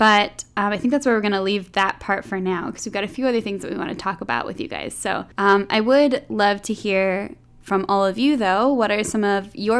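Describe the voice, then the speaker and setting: Speaking at a fairly quick pace, a woman has a medium pitch, ordinary pitch variation and a plain, everyday voice. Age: 20s. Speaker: podcast host. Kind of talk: casual chat.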